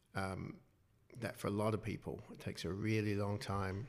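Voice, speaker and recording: In a New Zealand accent, a man talks at a moderate pace on a very clean recording with a silent background. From New Zealand, Wellington. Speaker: clinical psychologist and author. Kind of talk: interview.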